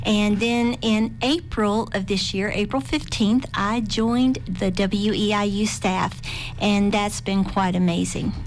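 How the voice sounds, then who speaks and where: A woman's medium-pitched voice at a fairly slow pace, with very even loudness and ordinary pitch variation. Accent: Southern Appalachian. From southwestern Virginia (Appalachia). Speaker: public media membership manager. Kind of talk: radio interview.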